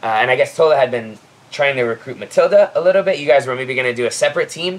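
With an American accent, a man talks with ordinary pitch variation. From Florida. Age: 30s. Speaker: CrossFit athlete. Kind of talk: casual chat. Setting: outdoors. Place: garden.

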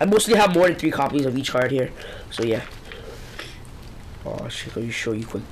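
A man with a medium pitch talks at a fairly quick pace with very wide pitch swings. He leaves long, frequent pauses, and noticeable background noise is present. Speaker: trading card collector. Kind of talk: casual talk to camera.

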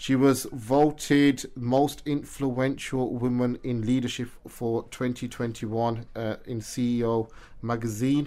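In a British accent, a man speaks very slowly with a dark, mellow tone and monotone, flat intonation. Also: medium pitch for a man. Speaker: radio show and podcast host. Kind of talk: interview. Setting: studio.

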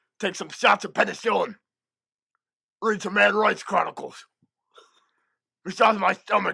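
The raspy, fairly high voice moves at a moderate pace broken by long, frequent pauses. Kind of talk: comic overacting. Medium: fan dub.

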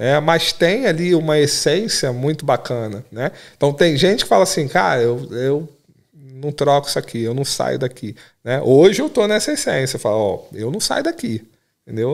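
Against a silent background in a very clean recording, a man talks at a moderate pace. His pitch is fairly high and his intonation lively. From Rio de Janeiro. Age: 40s. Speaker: IT professional and investor. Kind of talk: podcast interview.

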